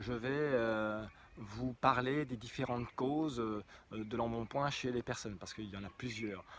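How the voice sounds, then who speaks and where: This man's pitch sits in the medium range, his pace is moderate, and his pitch varies an ordinary amount. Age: 50s. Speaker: hypnotherapist. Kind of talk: promotional talk. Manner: halting, many fillers.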